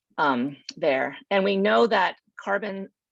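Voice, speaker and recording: The recording is dry and close, free of any echo. It features a woman speaking. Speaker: conservation expert presenter. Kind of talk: presentation at virtual panel. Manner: fast.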